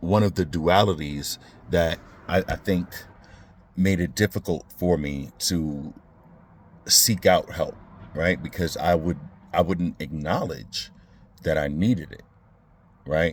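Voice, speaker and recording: Very slow speech with long, frequent pauses, ordinary pitch variation and an American accent. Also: man. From Brooklyn, New York. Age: 40s. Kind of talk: casual talk to camera. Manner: reflective, hesitant.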